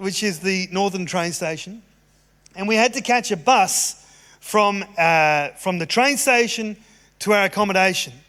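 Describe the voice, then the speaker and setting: A man's bright, sharp, high-pitched voice with an Australian accent, ordinary pitch variation and a moderate pace, on a very clean recording with a silent background. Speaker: pastor. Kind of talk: sermon. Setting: church service, live.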